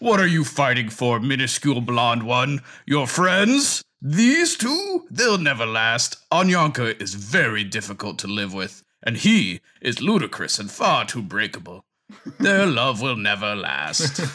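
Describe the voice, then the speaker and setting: A man's put-on character voice, medium in pitch, at a fairly slow pace. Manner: menacing, mocking.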